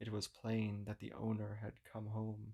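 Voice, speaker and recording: Soft-spoken and calm, a man speaks at a fairly slow pace in a fairly low, monotone voice with flat intonation. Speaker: narrator. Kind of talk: sleep story. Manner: soft, ethereal, calm.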